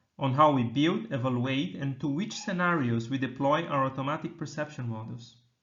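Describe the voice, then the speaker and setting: Speaking at a fairly quick pace with hardly any pauses, a man with a Brazilian accent has a fairly high pitch and ordinary pitch variation. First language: Portuguese. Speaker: computer scientist researcher. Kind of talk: keynote talk.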